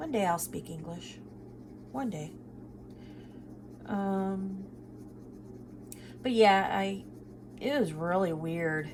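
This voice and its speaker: Fairly low female voice with long, frequent pauses and audible room echo. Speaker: budgeting vlogger. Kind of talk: casual chat. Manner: hesitant, many fillers.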